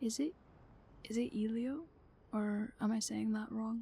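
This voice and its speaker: A woman's somewhat breathy, dark, mellow tone at a fairly high pitch, with fairly even intonation. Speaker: ASMR streamer. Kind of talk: ASMR livestream chat. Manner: casual, soft-spoken.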